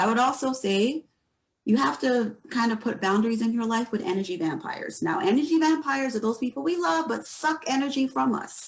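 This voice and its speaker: Somewhat breathy, this voice moves quickly and swings very widely in pitch. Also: woman. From Barbados. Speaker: mental health professional. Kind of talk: panel discussion.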